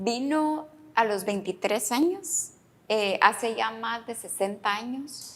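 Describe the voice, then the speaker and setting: Her pace is very slow. The woman speaks with lively intonation. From Guatemala. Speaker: podcast host, author. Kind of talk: interview.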